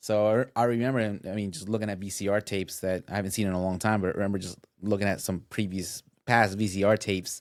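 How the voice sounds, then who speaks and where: On a very clean recording with a silent background, a man with a Spanish accent talks at a very fast pace in a fairly low pitch with monotone, flat intonation. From US Northeast, Westchester New York. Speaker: guest. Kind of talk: podcast interview. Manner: halting, many repetitions and fillers.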